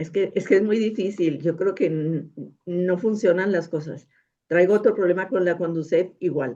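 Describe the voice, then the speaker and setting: At a moderate pace, a woman speaks in a medium-pitched voice with a dark, mellow tone. Her pitch variation is ordinary. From northern Mexico, Monterrey. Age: 80s+. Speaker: audience member asking a question. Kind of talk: question from audience.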